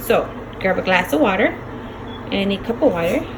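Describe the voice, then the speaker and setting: A woman's voice with audible room echo and music in the background. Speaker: cooking vlogger. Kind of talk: cooking tutorial. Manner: casual, chatty.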